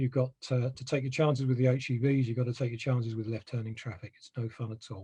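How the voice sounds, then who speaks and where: This man talks very fast with hardly any pauses, his voice somewhat breathy with a dark, mellow tone at medium pitch. His intonation stays monotone and flat while his loudness swings widely. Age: 60s. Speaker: residents association member. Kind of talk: presentation.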